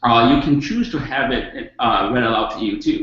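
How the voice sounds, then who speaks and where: Over music in the background, a man talks with a slight non-native accent. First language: not English. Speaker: educator / webinar presenter. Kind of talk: webinar presentation. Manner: halting, many fillers.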